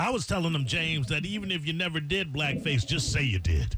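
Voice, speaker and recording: A man at a very fast pace, fairly high in pitch, animated in tone, over noticeable background noise. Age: 40s. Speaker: radio host. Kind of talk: casual chat.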